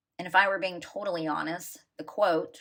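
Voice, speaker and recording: A woman with an ordinary speaking voice, fairly low in pitch, at a moderate pace, in a very clean recording with a silent background. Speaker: blogger. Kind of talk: reading aloud.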